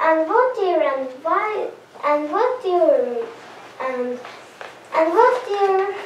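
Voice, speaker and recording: In a squeaky, put-on character voice at an extremely high pitch, the speaker goes at a very slow pace with long, frequent pauses and a slight echo. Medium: stage play. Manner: innocent, hesitant.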